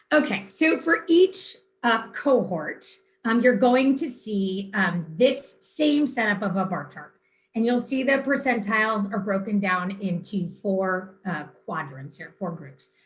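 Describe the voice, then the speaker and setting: Somewhat breathy and medium in pitch, a woman speaks at a fairly slow pace, with very wide pitch swings and big swings in loudness. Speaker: school administrator presenting test data. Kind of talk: presentation to a school board.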